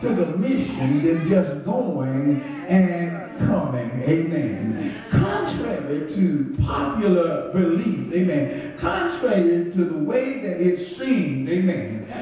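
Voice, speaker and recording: With strong room echo, a man speaks at a very slow pace, his pitch swinging very widely. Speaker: pastor. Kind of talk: sermon. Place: church.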